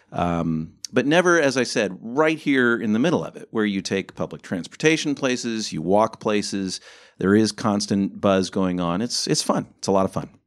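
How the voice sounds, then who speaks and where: A man with a Midwestern American accent speaks at a moderate pace with hardly any pauses, his fairly low voice full of lively intonation. The recording is very clean with a silent background. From US Midwest, Ohio. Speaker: podcast co-host. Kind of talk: casual chat.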